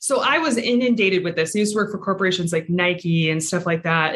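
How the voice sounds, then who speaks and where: A woman speaks at a very fast pace in a Pacific Northwest accent, her medium pitch showing ordinary variation. Noticeable background noise sits behind her. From Everett, Washington (Seattle area). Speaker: real estate investor. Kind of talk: interview.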